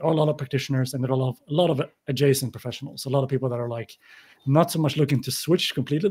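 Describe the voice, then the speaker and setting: A man speaks at a very fast pace with a non-native accent. His tone is dark and mellow, somewhat breathy, with ordinary pitch variation. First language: not English. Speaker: podcaster and newsletter writer. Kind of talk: panel discussion.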